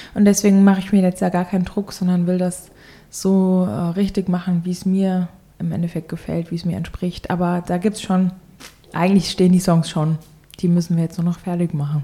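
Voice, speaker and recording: A woman speaks fairly quickly in a somewhat breathy, dark, mellow tone. Her medium pitch stays monotone and flat. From Germany, Hesse. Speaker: singer-songwriter. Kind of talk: casual interview.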